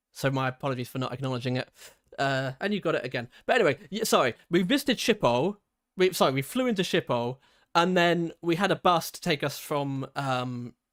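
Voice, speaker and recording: A man with an ordinary speaking voice talks at a fairly quick pace in a fairly high voice with lively intonation, in a very clean, dry, close recording with a silent background and no echo. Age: 20s. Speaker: video game streamer. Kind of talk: casual chat. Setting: livestream.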